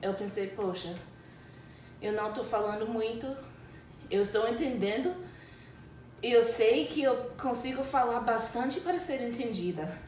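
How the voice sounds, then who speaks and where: The speaker has a non-native accent and ordinary pitch variation. Noticeable background noise and audible room echo fill the recording. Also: woman. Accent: foreign accent in Portuguese. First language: English (speaking Portuguese). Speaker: English teacher. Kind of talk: casual chat. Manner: halting.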